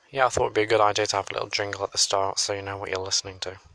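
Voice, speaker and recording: Quietly and at a very fast pace, a man with an English accent talks in a fairly low pitch. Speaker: solo podcaster. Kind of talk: casual monologue. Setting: outdoors on a hill.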